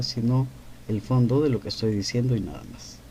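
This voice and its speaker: A dark, mellow tone at a moderate pace. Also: man. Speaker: painter and writer hosting a live stream. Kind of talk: live stream Q&A monologue. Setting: TikTok live.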